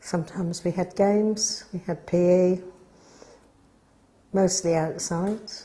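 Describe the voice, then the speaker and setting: Speaking in a Norfolk accent at medium pitch, a woman talks fairly slowly in a flat monotone with long, frequent pauses, over noticeable background noise. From Norfolk, England. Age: 80s+. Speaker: village resident interviewed for local history. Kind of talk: oral history interview.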